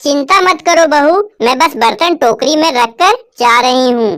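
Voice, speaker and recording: In a cartoonish character voice, a woman speaks at a moderate pace with a high pitch and lively intonation. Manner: soft, gentle.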